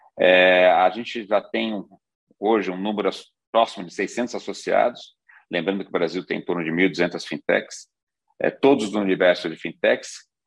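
The loudness of this man's voice swings a lot. He keeps to a moderate pace. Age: 50s. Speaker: financial industry executive and board advisor. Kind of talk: conference talk.

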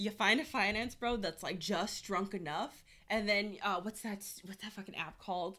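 Animated in tone, a woman speaks at medium pitch and a moderate pace with ordinary pitch variation. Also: big swings in loudness. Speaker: podcast co-host. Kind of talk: casual chat. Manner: loud; animated, laughing often.

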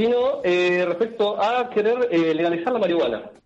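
The speaker has a Rioplatense accent and talks at a moderate pace. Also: man. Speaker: radio columnist. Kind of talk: radio segment. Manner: halting. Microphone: possible bad connection.

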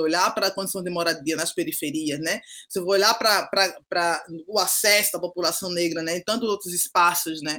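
Speaking at a moderate pace, a woman has a bright, sharp tone, a fairly low pitch and ordinary pitch variation. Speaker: pedagogue and social educator. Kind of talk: podcast interview. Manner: frequent tag 'né' fillers.

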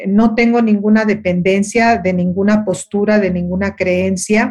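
At a fairly slow pace, a woman speaks in a somewhat breathy, medium-pitched voice with fairly even intonation. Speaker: radio and TV host, life coach. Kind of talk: interview conversation.

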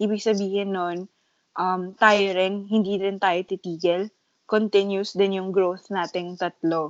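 A woman's normal speaking voice, medium in pitch, at a fairly slow pace with fairly even intonation. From Philippines. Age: 20s. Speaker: podcast co-host. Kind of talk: casual chat.

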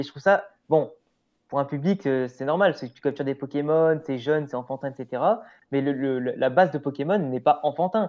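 Using a plain, everyday voice, a man talks at a moderate pace, his fairly high pitch showing ordinary pitch variation. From France, Grenoble / Lyon region. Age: 20s. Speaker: YouTuber, anime and manga content creator. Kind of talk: casual chat.

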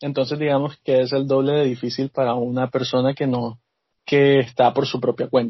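This man's intonation is monotone and flat. His pitch is medium and his pace moderate. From Colombia, Barranquilla (Caribbean coast). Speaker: esports FIFA player. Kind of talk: interview.

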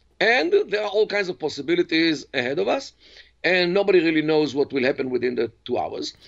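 A man with an Israeli accent speaks at a moderate pace and a high pitch. His intonation is lively. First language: Hebrew. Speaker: professor and Middle East expert. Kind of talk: interview. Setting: video call.

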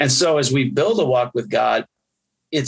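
The speaker talks at a moderate pace. They have an American accent. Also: man. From US Midwest, Wisconsin. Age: 50s. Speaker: pastor. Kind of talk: casual chat.

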